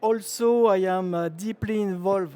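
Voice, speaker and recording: A man with a French accent speaks in a dark, mellow tone. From France. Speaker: chemical engineer and industry speaker. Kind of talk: trade show presentation. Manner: hesitant, frequent uh fillers.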